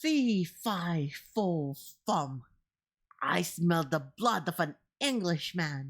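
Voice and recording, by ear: A bellowing, put-on character voice sits at a middle pitch. It moves at a very slow pace.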